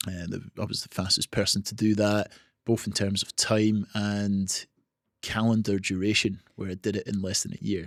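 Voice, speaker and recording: With a British accent, a man speaks at a moderate pace in a fairly low, monotone, flat voice, in a very clean recording with a silent background and a dry, close sound with no echo. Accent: non-Australian, UK. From Scotland. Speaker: marathon swimmer. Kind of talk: podcast interview.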